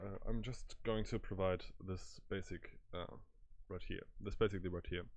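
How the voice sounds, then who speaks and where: A man talks at a moderate pace with a German accent. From Germany. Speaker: programming tutor. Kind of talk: tutorial. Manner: halting, many fillers.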